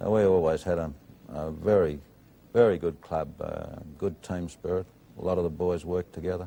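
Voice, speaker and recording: A man speaks at a moderate pace in a very deep, low voice with a dark, mellow tone and fairly even intonation. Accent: Australian. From Australia, Maitland, New South Wales. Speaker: steelworks general manager. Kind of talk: TV interview.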